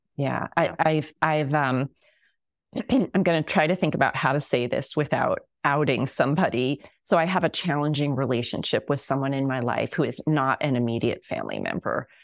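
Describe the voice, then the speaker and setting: At a moderate pace with ordinary pitch variation, a woman with a very deep, low pitch speaks in a very clean recording with a silent background. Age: 50s. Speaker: psychologist. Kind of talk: casual chat.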